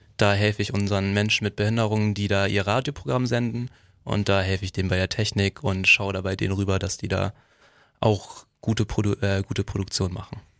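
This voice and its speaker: A man's fairly low, plain, everyday voice at a fairly quick pace, fairly even in intonation, in a dry, close sound with no echo and a very clean recording with a silent background. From Heide, Schleswig-Holstein, northern Germany. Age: 20s. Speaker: community radio volunteer. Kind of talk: casual chat.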